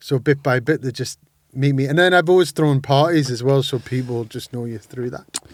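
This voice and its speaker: A man with a Geordie accent talks at a fairly quick pace and a medium pitch. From northern England, Sunderland. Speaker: music industry entrepreneur and drag performer. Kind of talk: casual chat. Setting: podcast studio. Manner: loud; animated.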